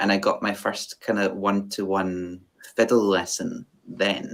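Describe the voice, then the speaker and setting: A man with a west of Scotland accent, fairly low in pitch, flat and monotone in intonation, at a fairly slow pace. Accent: west of Scotland Scottish. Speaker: fiddle player. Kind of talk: interview. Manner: halting, many fillers.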